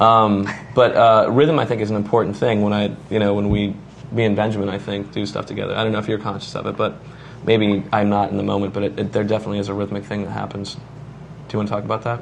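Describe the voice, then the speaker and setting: Amid noticeable background noise and audible room echo, a man with a fairly low voice speaks at a very fast pace. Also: fairly even intonation. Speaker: voice actor. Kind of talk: casual interview.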